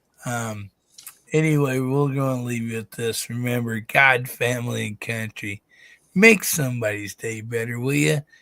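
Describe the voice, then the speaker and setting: A man at medium pitch and moderate pace, bright and sharp in tone, with a dry, close sound and no echo. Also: ordinary pitch variation. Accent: American. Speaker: livestream host. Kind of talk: casual livestream sign-off.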